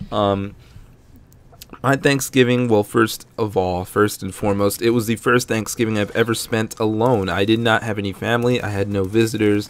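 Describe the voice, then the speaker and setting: With fairly even intonation, the man talks at a fairly low pitch. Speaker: gaming youtuber. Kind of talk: gameplay commentary. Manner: fast; casual, rambling with fillers.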